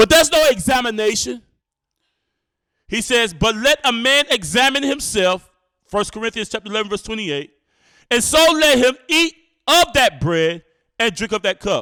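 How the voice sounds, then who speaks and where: A man speaks in a raised, projected voice at an extremely high pitch, with very wide pitch swings and a bright, sharp, animated tone. His pace is moderate with long, frequent pauses, and the sound is dry and close with no echo. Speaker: bible teacher. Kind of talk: sermon. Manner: stutters at times.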